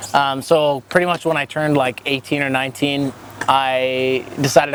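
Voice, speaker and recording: Against noticeable background noise, a man with a Canadian accent speaks at a fairly high pitch. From Canada, Alberta (Calgary, Cochrane). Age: 20s. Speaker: skateboarder and youth volunteer. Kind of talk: casual interview.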